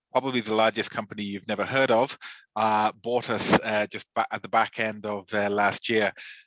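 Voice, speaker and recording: Over a quiet background, a man with an Irish accent talks at a moderate pace in a fairly low, monotone voice with flat intonation. The sound is dry and close, with no echo. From Ireland. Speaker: regional sales manager. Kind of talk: webinar discussion.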